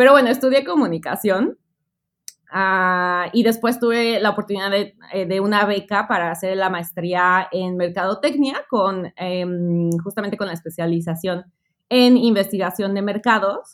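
Her pitch lands in the medium range. This woman's pitch shifts in an ordinary way. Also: fairly slow pace. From Mexico City. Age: 30s. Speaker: travel and education agency owner. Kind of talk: interview.

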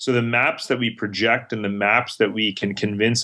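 An ordinary speaking voice from a man with an American accent, fairly low in pitch. He talks at a moderate pace against a quiet background. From mixed upbringing: India, Middle East, New York, Germany. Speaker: global strategist and author. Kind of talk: interview.

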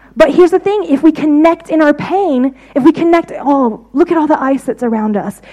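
A woman with a high pitch talks at a fairly quick pace with lively intonation. She leaves hardly any pauses, and noticeable background noise is present. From United States. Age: 30s. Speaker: visiting preacher. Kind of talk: sermon.

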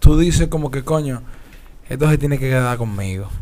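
A man's voice with audible room echo. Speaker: podcast co-host. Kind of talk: casual chat.

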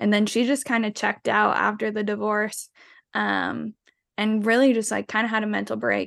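A woman against a quiet background. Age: 20s. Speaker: podcast guest. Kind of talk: casual chat.

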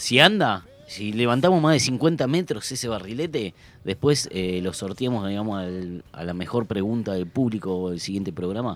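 This is a normal speaking voice with lively intonation, moving along at a moderate pace. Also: man, fairly low pitch for a man. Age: 40s. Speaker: community radio host, health worker. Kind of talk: casual chat.

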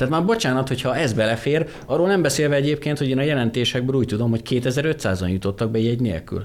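A man's medium-pitched voice at a very fast pace, with very even loudness, ordinary pitch variation and hardly any pauses. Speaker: policy analyst. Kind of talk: radio discussion. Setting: studio.

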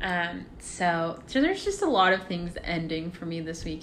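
At a moderate pace, a woman speaks with audible room echo around her voice. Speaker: college student podcast co-host. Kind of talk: casual chat.

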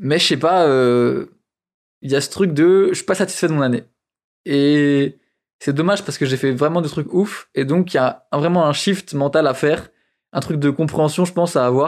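Fairly high-pitched man's voice with ordinary pitch variation and long, frequent pauses, on a very clean recording with a silent background. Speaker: photographer and podcaster. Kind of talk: casual monologue. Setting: outdoors on a scooter in traffic. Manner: fast.

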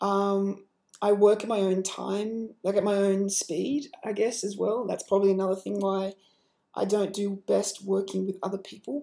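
Speaking with an Australian accent, a woman has a dark, mellow tone at a medium pitch. Her intonation is fairly even and her pace moderate. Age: 20s. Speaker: podcaster and fashion model. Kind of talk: solo monologue podcast. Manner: hesitant, many filler words.

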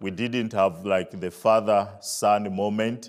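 On a very clean recording with a silent background, a man with a Zambian accent speaks very slowly at a fairly low pitch. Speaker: visiting preacher. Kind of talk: testimony and sermon. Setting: church with audience.

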